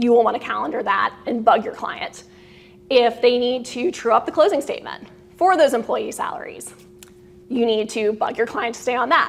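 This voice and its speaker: Over noticeable background noise, a woman with a high pitch speaks with lively intonation. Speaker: lawyer giving CLE presentation. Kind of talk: lecture. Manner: fast.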